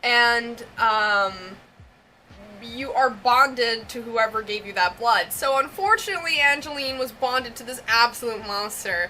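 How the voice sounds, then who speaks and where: With an American accent, a woman speaks fairly slowly at a fairly high pitch with ordinary pitch variation. Her loudness swings widely, and background noise is noticeable. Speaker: vlogger and larper. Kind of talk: casual vlog monologue. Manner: hesitant, many fillers (um, like).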